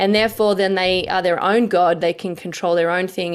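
Speaking in an Australian accent, a woman holds a medium pitch with monotone, flat intonation. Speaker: political commentator. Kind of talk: interview. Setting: video call.

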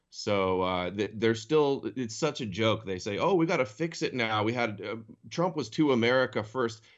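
Speaking at a moderate pace, a man with a medium-pitched, unremarkable speaking voice uses lively intonation. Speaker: co-host.

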